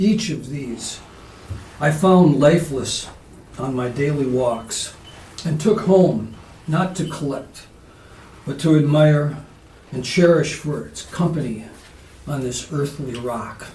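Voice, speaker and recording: A man at a fairly high pitch with ordinary pitch variation, a very slow pace, long, frequent pauses and big swings in loudness, amid noticeable background noise and audible room echo. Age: 70s. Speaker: poet. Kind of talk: poetry reading; casual spoken introduction. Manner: halting with fillers.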